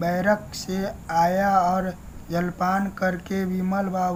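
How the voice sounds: The clip has a natural reading voice. It is used throughout.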